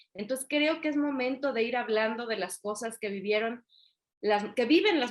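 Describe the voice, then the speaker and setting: At a moderate pace, a woman talks with a Yucatecan accent. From Mexico, Yucatán (Mérida). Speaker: author and women's coach. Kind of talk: interview.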